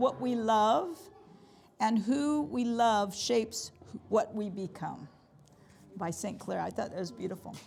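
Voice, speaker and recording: Loud and with vocal fry, a woman with an American accent speaks at a fairly high pitch and a fairly slow pace. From US Midwest (Nebraska), then California. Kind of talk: talk to a parish group. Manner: loud, projecting. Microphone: no microphone.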